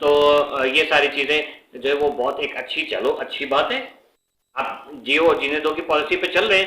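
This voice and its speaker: A man's fairly high voice with a bright, sharp tone and fairly even intonation. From Pakistan. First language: Urdu (speaking Hindi). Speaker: YouTuber. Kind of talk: casual commentary vlog. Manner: halting, many fillers.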